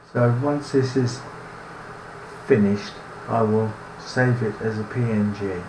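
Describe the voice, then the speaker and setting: A man with a British accent speaks slowly-ish, at a fairly slow pace and medium pitch, with fairly even intonation and long, frequent pauses, amid noticeable background noise and audible room echo. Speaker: cartoonist. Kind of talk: tutorial narration. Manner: halting, with restarts.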